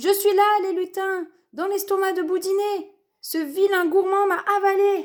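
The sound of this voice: A woman's put-on character voice, extremely high-pitched, at a moderate pace.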